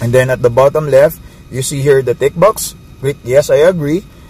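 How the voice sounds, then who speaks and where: There is noticeable background noise. A man talks at a moderate pace with a fairly high pitch. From Philippines. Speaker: network marketing distributor. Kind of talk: tutorial. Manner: casual, hesitant with fillers.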